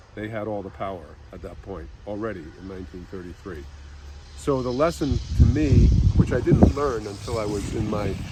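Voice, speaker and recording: With an American accent, a man talks in very wide pitch swings and big swings in loudness, over noticeable background noise and audible room echo. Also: fairly low pitch for a man, moderate pace. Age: 70s. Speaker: psychotherapist. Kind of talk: personal storytelling. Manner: halting.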